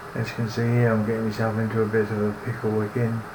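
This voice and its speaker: A man's very fast speech at a fairly low pitch, with audible room echo and noticeable background noise. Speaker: cartoonist. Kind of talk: tutorial narration. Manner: halting, with restarts.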